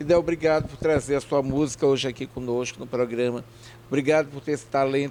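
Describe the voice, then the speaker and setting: The pace is fairly quick, with ordinary pitch variation. It is an ordinary speaking voice. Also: man. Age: 60s. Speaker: TV/web show host. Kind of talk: interview.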